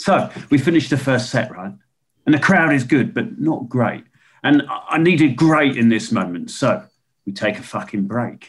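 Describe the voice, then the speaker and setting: A man puts on a drawling character voice at a moderate pace. His pitch sits fairly high and swings very widely. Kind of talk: dark comedy. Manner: laid-back hipster drawl, peppered with "dig".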